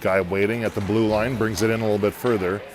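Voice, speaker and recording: Noticeable background noise sits behind a man talking at a very fast pace. His pitch is fairly low and his intonation fairly even. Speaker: amateur hockey play-by-play commentator. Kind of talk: live commentary. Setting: in the bleachers at an ice rink. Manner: quiet, golf-style low voice.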